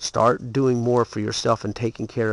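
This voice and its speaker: The pace is moderate. The sound is dry, with no echo. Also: man. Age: 40s. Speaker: home gardener vlogger. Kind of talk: casual video tutorial; casual vlog chat. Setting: garage. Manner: hesitant, many fillers. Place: garden. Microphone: phone near.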